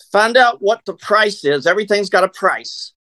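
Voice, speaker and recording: A man's raised, projected voice, high-pitched and bright and sharp in tone, with ordinary pitch variation, a moderate pace and a dry, close sound with no echo. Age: 60s. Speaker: network marketer. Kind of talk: interview.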